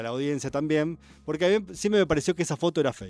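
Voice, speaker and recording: A man's fairly high voice at a very fast pace, full of lively intonation, in a very clean recording with a silent background. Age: 40s. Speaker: literature columnist. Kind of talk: radio column, casual chat.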